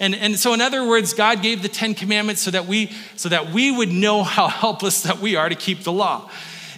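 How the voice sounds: A natural voice carries this reading.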